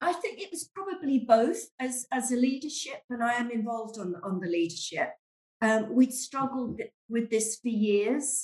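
Speaking at a moderate pace in a London accent, a woman uses a high pitch and lively intonation. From London, England. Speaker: church member and stay-at-home mum. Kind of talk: casual chat. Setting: video call.

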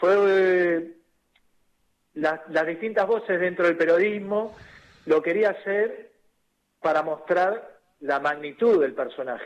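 A man speaks in a high pitch at a very slow pace. His speech has long, frequent pauses. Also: ordinary pitch variation. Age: 40s. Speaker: journalist and author. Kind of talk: radio interview.

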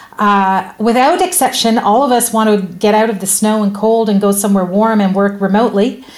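This woman has a plain, everyday voice with a fairly high pitch and ordinary pitch variation. She talks at a fairly quick pace with hardly any pauses. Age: 50s. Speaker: podcast host. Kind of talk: interview.

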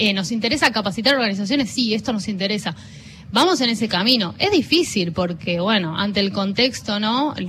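The speaker has a plain, everyday voice with lively intonation. The pace is fairly quick. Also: woman, fairly high pitch for a woman. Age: 30s. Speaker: journalist, co-founder of a feminist media collective. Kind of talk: interview. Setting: radio booth at a book fair.

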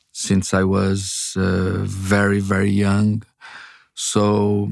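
In a Brazilian accent, a man speaks at a fairly low pitch with monotone, flat intonation on a very clean recording with a silent background. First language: Portuguese. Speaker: publisher and memoir author. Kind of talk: interview. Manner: halting; humble.

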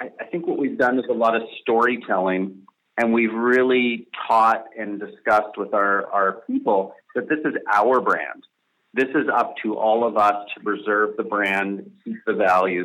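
A man with an unremarkable speaking voice talks at a fairly slow pace and medium pitch, with fairly even intonation. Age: 40s. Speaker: business founder and CEO. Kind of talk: interview.

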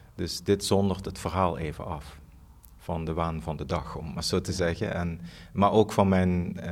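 Against audible room echo, a man with a very deep, low voice speaks at a fairly slow pace with fairly even intonation. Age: 40s. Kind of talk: interview. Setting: empty theatre studio. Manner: halting.

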